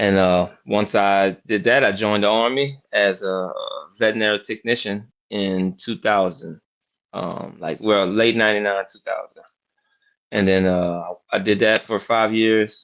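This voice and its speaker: A man's fairly low voice with an American accent, at a fairly slow pace with fairly even intonation. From New Orleans, US South. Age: 40s. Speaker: professional dog trainer and army veteran. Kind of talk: podcast interview.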